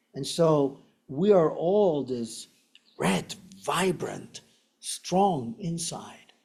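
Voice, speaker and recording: A man speaks in an Argentine accent with lively intonation. His pitch is fairly high and his tone dark and mellow. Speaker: meditation teacher. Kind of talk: dharma talk. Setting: meditation center with audience and online viewers.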